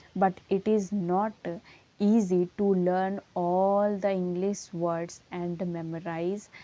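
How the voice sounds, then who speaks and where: A woman with an Indian accent, medium pitch, a dark, mellow tone, monotone, flat intonation and a very slow pace. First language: Hindi. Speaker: English teacher. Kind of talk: tutorial.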